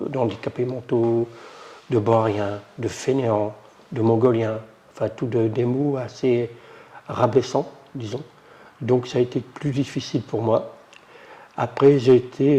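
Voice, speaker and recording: A man speaks very slowly in a monotone, flat intonation at a medium pitch. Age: 60s. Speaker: adult literacy learner. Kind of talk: testimony. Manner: halting.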